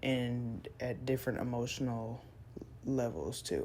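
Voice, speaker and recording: With audible room echo around her, a woman speaks at a fairly slow pace. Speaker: art content creator. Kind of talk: casual draw-along chat. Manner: hesitant, many fillers.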